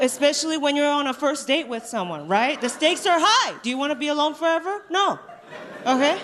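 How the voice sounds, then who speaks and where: A woman speaks at a fairly quick pace in a high pitch. Noticeable background noise sits behind her. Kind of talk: stand-up. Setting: stage with live audience.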